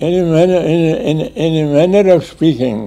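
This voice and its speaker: Music plays in the background as a man speaks. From Pakistan. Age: 80s+. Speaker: retired civil servant and politician. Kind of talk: interview answer. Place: home room. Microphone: lapel.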